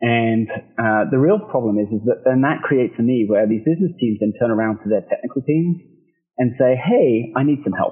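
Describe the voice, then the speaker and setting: Over music in the background, a man talks at a medium pitch with lively intonation and very even loudness. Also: moderate pace. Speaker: product manager. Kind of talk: product demo walkthrough.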